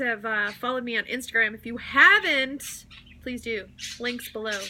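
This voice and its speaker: Noticeable background noise surrounds this recording. A woman speaks at a high pitch. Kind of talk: casual vlog update.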